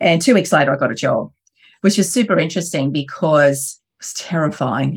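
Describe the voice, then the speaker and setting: An Australian accent at a fairly quick pace, with lively intonation, in a very clean recording with a silent background. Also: woman. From Australia, Wollongong. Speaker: entrepreneur. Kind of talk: interview storytelling.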